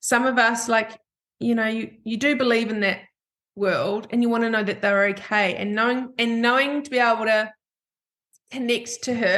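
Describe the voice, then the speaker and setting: With a New Zealand accent, a woman speaks at a moderate pace in a fairly high voice, leaving long, frequent pauses. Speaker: podcast host. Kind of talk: casual chat. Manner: animated.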